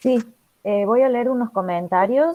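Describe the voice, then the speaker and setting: The speaker is a woman with an unremarkable speaking voice. She goes at a moderate pace with ordinary pitch variation. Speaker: moderator reading audience comments. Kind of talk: reading aloud audience comments in online conference.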